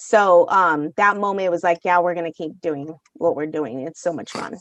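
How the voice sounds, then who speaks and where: Loud and fairly low-pitched, a woman speaks at a moderate pace with ordinary pitch variation. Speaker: baseball fan, mother. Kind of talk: podcast interview, casual storytelling. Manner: animated.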